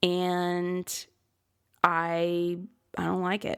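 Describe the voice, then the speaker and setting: With an American accent and vocal fry, a woman speaks at a fairly low pitch on a very clean recording with a silent background. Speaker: life coach. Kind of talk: podcast monologue. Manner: casual, conversational.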